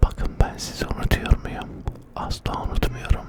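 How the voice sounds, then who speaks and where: Whispering at a very slow pace amid noticeable background noise. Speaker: ASMR creator. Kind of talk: ASMR whisper to camera. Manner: whispered, soft, relaxing.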